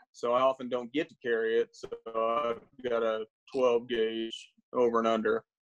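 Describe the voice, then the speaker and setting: A man's medium-pitched, monotone voice at a moderate pace, dry with no echo, over music in the background. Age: 40s. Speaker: bird hunter, game show contestant. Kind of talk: casual chat. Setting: video call from home. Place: home room. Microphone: video call.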